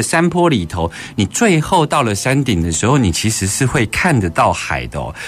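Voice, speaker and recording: This man talks at a fairly quick pace with a Taiwanese accent. His pitch swings very widely, and there is noticeable background noise. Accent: Taiwanese Mandarin. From Taiwan, Keelung. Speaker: radio host. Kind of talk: casual interview.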